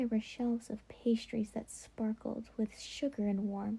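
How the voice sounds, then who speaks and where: A woman speaks at a very slow pace. She is soft-spoken. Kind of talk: bedtime story reading.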